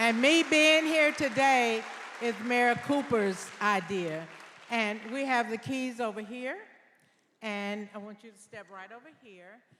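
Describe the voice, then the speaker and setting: A woman with an American accent speaks very slowly in a fairly high voice, her intonation lively and her loudness swinging widely. Crowd noise and audible room echo fill the background. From US South, Nashville, Tennessee. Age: 70s. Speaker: deputy mayor. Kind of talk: public speech. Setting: stage with audience. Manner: emotional, emphatic.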